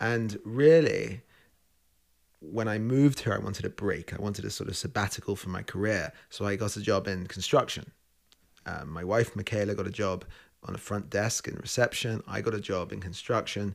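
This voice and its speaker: A man speaks in a London accent. His pitch is fairly low. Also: ordinary pitch variation, moderate pace, very clean recording, silent background. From England (London). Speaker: chef. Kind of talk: interview. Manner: hesitant fillers.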